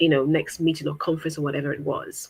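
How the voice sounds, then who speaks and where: A woman speaks with an African accent at a very fast pace. Her pitch is very deep and low. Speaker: guest on interview podcast. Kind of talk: interview conversation.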